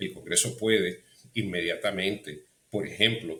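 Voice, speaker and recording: A man with an English accent speaks at a fairly slow pace, his tone bright and sharp and his intonation lively. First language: English (speaking Spanish). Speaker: political commentator. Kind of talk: interview. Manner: halting, many fillers.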